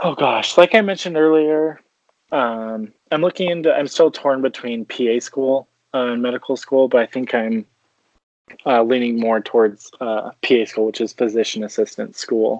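This man speaks at a medium pitch with ordinary pitch variation. His pace is moderate. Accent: western US. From Utah, US. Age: 20s. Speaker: fitness influencer and model. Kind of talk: casual interview. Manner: casual, filler-heavy.

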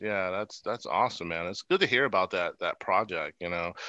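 A normal speaking voice with an American accent, ordinary pitch variation and hardly any pauses. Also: man. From US East Coast. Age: 40s. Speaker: podcast host. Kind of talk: casual chat.

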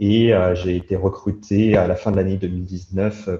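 A man speaks in a very deep, low voice that is somewhat breathy. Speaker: crypto industry professional. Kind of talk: interview.

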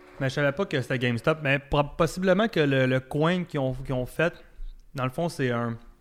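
Here is a man with a Quebec accent. His pitch varies in an ordinary way. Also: fairly high pitch for a man, moderate pace. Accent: Québécois French. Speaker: podcast co-host. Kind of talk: casual chat.

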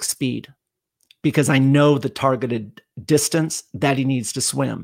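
In a very clean recording with a silent background and a dry, close sound with no echo, a man with an unremarkable speaking voice talks at a fairly slow pace and a fairly high pitch. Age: 50s. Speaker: endurance coach. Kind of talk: casual chat. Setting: live stream.

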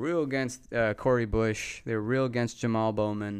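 A man talks in a normal speaking voice with an American accent. His fairly low pitch keeps fairly even intonation against a quiet background. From Texas. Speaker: podcast host. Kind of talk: casual chat.

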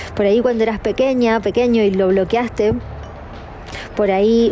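With music playing in the background, a woman talks at a moderate pace in a fairly high pitch. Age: 40s. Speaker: podcast host and energy coach. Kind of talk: scripted podcast intro; personal storytelling monologue. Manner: warm, enthusiastic.

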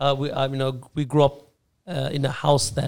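A medium-pitched man's voice with an Australian accent. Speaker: Islamic scholar, former imam. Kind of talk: casual chat. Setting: studio.

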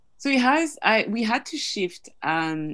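A woman with a French accent over a quiet background. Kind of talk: interview. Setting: video call.

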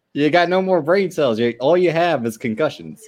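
A man's unremarkable speaking voice at a moderate pace, with lively intonation. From California. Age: 20s. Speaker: wrestling podcast guest. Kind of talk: casual chat.

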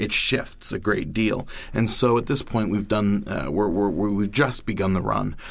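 The speech moves at a fairly slow pace with ordinary pitch variation, and audible room echo fills the recording. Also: man, fairly low pitch for a man. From Maine. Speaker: monologuist. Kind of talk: interview. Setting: studio.

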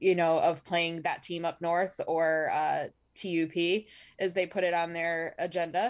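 In a Michigan accent, a woman speaks at a moderate pace in a fairly low voice with monotone, flat intonation. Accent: Michigan general American. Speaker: podcast co-host. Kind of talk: casual comedic banter about weird news.

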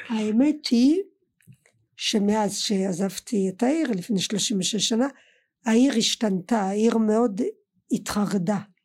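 A woman's fairly high, somewhat breathy voice in a French accent, very slow with long, frequent pauses and ordinary pitch variation, on a very clean recording with a silent background. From France, Colmar (Alsace). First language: French (speaking Hebrew). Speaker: podcast guest, host's mother. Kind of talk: casual family chat. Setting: studio.

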